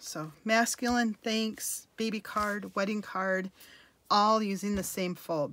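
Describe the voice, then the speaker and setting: A woman talks at a very slow pace. Her pitch is fairly high and varies in an ordinary way. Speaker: card-making demonstrator. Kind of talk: crafting tutorial. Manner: casual, chatty.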